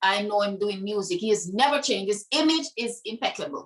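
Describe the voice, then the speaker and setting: With a bright, sharp tone and lively intonation, a woman in a Jamaican accent talks at a moderate pace. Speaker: dancehall artist. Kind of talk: interview conversation.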